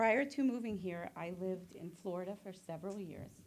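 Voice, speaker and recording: Over music in the background, a woman talks at a moderate pace with a medium pitch and ordinary pitch variation. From New Jersey and Puerto Rico. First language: Spanish. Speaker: mental health therapist; military veteran. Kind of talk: reading prepared remarks. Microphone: too quiet, far from mic.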